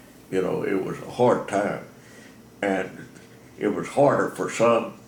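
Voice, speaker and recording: A man with an American accent at a very slow pace, ordinary pitch variation, and audible room echo. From Texas, Bell County. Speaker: elderly interviewee sharing life story. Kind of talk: oral history interview. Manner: halting, many fillers.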